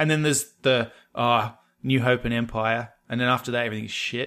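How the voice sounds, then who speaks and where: A man with an Australian accent, medium-pitched, at a fairly quick pace, on a very clean recording with a silent background. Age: 30s. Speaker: podcast co-host. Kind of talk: casual chat.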